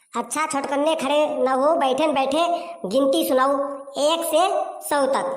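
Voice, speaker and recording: A cartoonish character voice moves at a moderate pace with fairly even intonation and very even loudness, and an echo can be heard. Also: woman, high pitch for a woman. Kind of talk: cartoon comedy. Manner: scolding, bossy.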